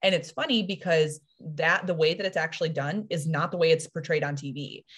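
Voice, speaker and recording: A woman speaks in a very deep, low voice. She sounds somewhat breathy. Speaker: fiction writer and publisher. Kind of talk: casual interview chat. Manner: fast.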